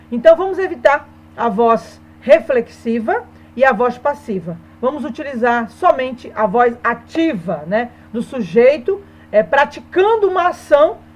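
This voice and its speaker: A woman speaks at a high pitch, her pitch swinging very widely and her loudness rising and falling sharply. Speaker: Portuguese teacher. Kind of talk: online lesson.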